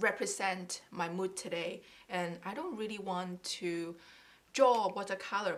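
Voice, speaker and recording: With a non-native accent, a woman speaks at a medium pitch and ordinary pitch variation. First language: not English. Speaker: craft YouTuber. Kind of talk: casual tutorial. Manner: halting.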